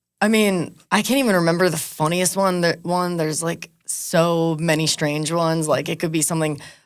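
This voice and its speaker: At a moderate pace, a woman speaks in a normal speaking voice, pitched fairly low. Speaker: MC and reggaeton DJ. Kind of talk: interview.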